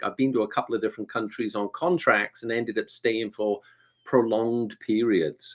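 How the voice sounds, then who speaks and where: A man with a Welsh accent speaks at a moderate pace. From Wales. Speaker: performance coach. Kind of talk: live online interview.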